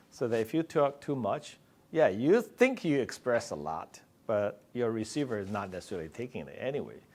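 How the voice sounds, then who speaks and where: A man's medium-pitched voice with vocal fry, a fairly quick pace and very wide pitch swings, on a very clean recording with a silent background. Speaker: physician researcher. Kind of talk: conference talk. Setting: stage with audience.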